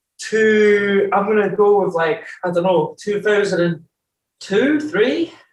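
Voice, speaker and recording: Ordinary pitch variation at a fairly slow pace, in an Edinburgh accent. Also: man, high pitch for a man. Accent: Scottish (Edinburgh). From Scotland, Edinburgh (born in Newcastle). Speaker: rapper and producer. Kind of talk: casual chat. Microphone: connection issues.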